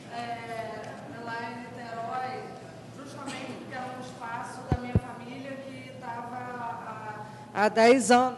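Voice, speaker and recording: The speech comes at a very slow pace. Background noise is noticeable. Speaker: artist and political activist. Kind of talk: panel discussion.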